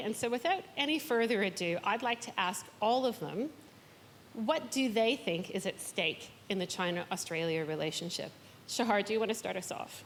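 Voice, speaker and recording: Over noticeable background noise, a woman with a Canadian accent talks fairly quickly at a fairly high pitch, her intonation lively. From Canada. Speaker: event moderator. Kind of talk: panel moderation. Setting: stage with audience.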